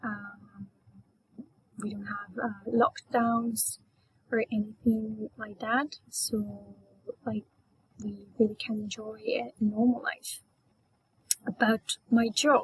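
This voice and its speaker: At a very slow pace with long, frequent pauses, a woman speaks in a somewhat breathy voice with fairly even intonation and big swings in loudness, the sound dry and close with no echo. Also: fairly high pitch for a woman. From Colombia, Antioquia. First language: Spanish. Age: 20s. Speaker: Spanish teacher and English learner. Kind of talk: class self-introduction. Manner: hesitant, many fillers.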